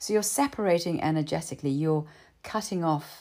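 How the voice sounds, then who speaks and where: In a very clean recording with a silent background, a woman speaks at a moderate pace with a dark, mellow tone and a very deep, low pitch, using ordinary pitch variation. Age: 60s. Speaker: trauma healing speaker. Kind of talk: monologue. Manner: animated.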